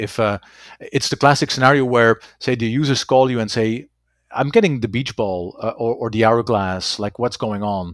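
At medium pitch, a man speaks with a Dutch accent. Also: dry, close sound with no echo. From Belgium. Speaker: FileMaker consultant. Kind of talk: interview.

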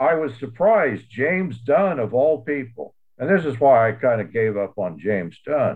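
With an American accent and a normal speaking voice, a man talks at a fairly slow pace, his fairly high pitch carrying lively intonation. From US Southwest (New Mexico, Texas). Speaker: theologian and author. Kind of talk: academic discussion.

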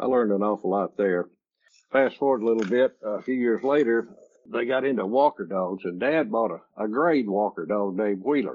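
Here a man talks with an East Texas accent. His pitch variation is ordinary. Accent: East Texas Southern drawl. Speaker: retired coon hunter and dog breeder. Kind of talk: interview storytelling. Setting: remote call.

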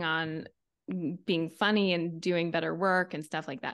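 A woman's fairly low voice with a normal speaking voice, at a fairly slow pace against a quiet background. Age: 40s. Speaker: TV writer and podcaster. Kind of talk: casual chat.

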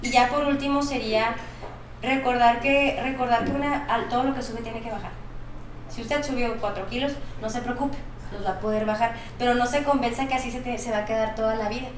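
Fairly quick speech with fairly even intonation, audible room echo and noticeable background noise. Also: woman, high pitch for a woman. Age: 20s. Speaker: nutritionist. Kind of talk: interview.

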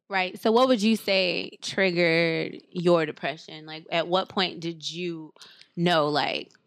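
In a very clean recording with a silent background, a woman with an American accent uses an unremarkable speaking voice, fairly low in pitch, with ordinary pitch variation at a fairly slow pace. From US Midwest, near Chicago. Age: 30s. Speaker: podcast host. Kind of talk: casual chat.

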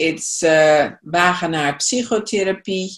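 Against a quiet background, a woman with a Dutch accent speaks at a very slow pace, her pitch varying in an ordinary way. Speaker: psychotherapist and EFT trainer. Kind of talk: interview. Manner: halting.

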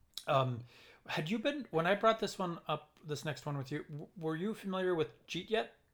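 On a very clean recording with a silent background, a man with a high voice and a Minnesotan accent speaks with lively intonation. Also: moderate pace. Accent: Minnesotan, recognizable. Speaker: podcast co-host, violist. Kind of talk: casual chat.

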